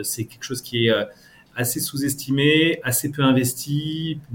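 This voice is somewhat breathy, with fairly even intonation. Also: man. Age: 30s. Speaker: fintech startup founder and CEO. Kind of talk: interview. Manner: halting.

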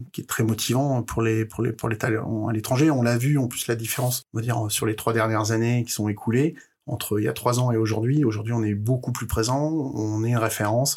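A man speaks at a medium pitch with fairly even intonation. He leaves hardly any pauses. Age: 40s. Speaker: head of recruitment at a video game startup. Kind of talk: interview. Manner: halting, repeated words.

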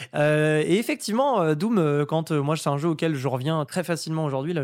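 An unremarkable speaking voice from a man with a fairly high pitch, ordinary pitch variation and a fairly quick pace, on a very clean recording with a silent background. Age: 20s. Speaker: host and commentator, horror and fighting game fan. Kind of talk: casual chat.

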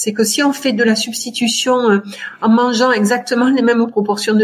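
A woman's high-pitched voice at a moderate pace, with fairly even intonation and noticeable background noise. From France, Tarn (Albi area). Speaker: dentist and environmental health advocate. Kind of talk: interview.

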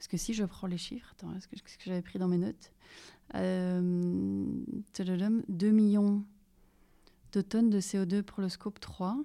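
A woman with a dark, mellow tone speaks at a very slow pace with fairly even intonation and big swings in loudness. The recording is very clean, with a silent background. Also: medium pitch for a woman. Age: 30s. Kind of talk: interview. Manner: halting.

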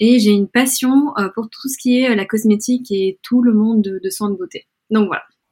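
A woman speaks at a fairly high pitch with a dark, mellow tone. Her somewhat breathy voice has a dry, close sound with no echo. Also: ordinary pitch variation, moderate pace. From Belgium, Brussels, Spanish family. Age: 20s. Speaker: influencer. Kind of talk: interview. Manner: hesitant, many fillers.

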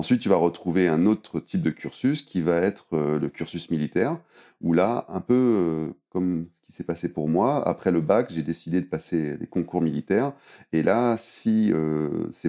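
A man's very deep, low voice with a dark, mellow tone, a fairly slow pace and ordinary pitch variation. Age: 30s. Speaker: airline pilot. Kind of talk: interview. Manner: halting, many repetitions.

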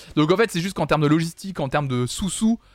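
A man's animated delivery, with ordinary pitch variation, is captured in a very clean recording against a silent background. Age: 20s. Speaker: music news streamer. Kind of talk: casual live-stream chat. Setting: live stream.

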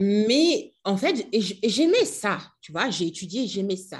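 Her intonation is lively, and her voice is somewhat breathy. A woman speaks against a quiet background. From DR Congo, Kinshasa. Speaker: storytelling coach and entrepreneur. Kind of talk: casual interview.

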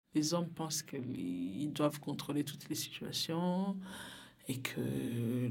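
With vocal fry and lively intonation, a woman talks at a very slow pace. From Burundi. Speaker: community worker at a women's association. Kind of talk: interview testimony. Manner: halting, repeats words.

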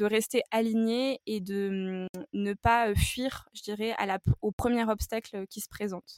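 A woman speaks at a fairly high pitch with fairly even intonation. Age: 20s. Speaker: natural health advisor. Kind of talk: interview.

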